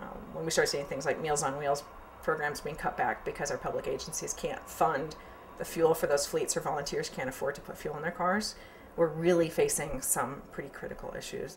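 Light background noise under a fairly quick pace. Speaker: interviewee. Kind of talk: interview answer. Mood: calm, earnest. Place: office.

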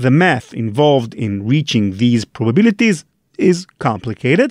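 A man in an Israeli accent speaks at a fairly slow pace with very wide pitch swings. The recording is very clean with a silent background and a dry, close sound with no echo. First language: Hebrew. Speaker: podcast host. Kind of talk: scripted narration.

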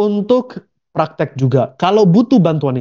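Against a quiet background, a man with a high, dark, mellow voice sweeps through very wide pitch swings. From abroad. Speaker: online business trainer; investment educator. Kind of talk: webinar presentation; lecture. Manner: code-switching with English fillers. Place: home room.

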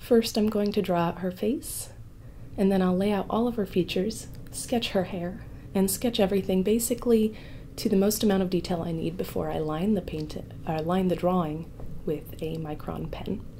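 A woman speaks at a medium pitch with a dark, mellow tone. Light background noise sits underneath. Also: ordinary pitch variation, moderate pace. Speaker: artist, former ASMR creator. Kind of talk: ASMR painting tutorial chat. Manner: soft-spoken. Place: home room.

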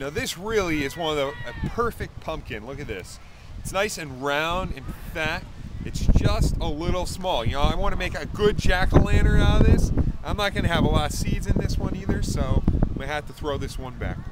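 A man speaks with a dry sound and no echo over loud background noise. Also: fairly quick pace. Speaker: home video host. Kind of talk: casual comic vlog chat. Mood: playful, mock-serious. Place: farm. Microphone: phone near.

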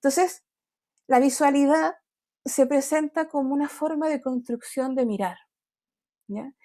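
Against a quiet background, a woman speaks fairly slowly with a high pitch, a dark, mellow tone and ordinary pitch variation. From grew up outside Chile. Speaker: design academic; design lecturer or panelist. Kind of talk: panel presentation. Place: home room. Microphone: earbuds.

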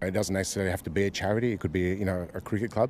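A man speaks at a very fast pace with a very deep, low pitch and monotone, flat intonation. The sound is dry with no echo, over light background noise. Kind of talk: interview answer. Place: open country. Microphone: handheld.

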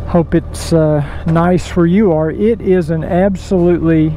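Recorded with a dry sound with no echo and light background noise, a man talks at a fairly slow pace with ordinary pitch variation. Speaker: motovlogger. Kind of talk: casual vlog chat. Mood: relaxed, friendly. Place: motorbike.

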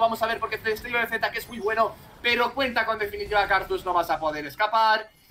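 Over noticeable background noise, a raised, projected voice comes through with an animated tone. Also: man. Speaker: esports caster. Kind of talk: live esports commentary. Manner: animated, fast, excitable play-by-play.

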